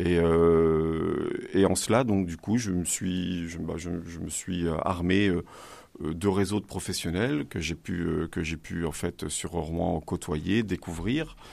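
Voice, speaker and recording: In a very clean recording with a silent background, a man speaks at a very slow pace in a very deep, low pitch with fairly even intonation. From Normandy, Le Havre. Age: 40s. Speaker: entrepreneur. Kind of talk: interview. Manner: halting, many fillers and repetitions.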